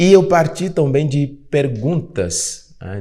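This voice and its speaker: Dark and mellow, a man's somewhat breathy voice swings very widely in pitch. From Benin. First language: Fongbe (speaking Portuguese). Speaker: podcast host and African culture educator. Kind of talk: podcast conversation.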